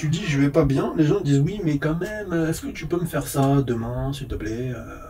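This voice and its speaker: A man with a fairly high voice and ordinary pitch variation talks at a medium pace as clear noise runs in the background. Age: 30s. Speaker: vlogger, phone repairer. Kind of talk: casual monologue vlog.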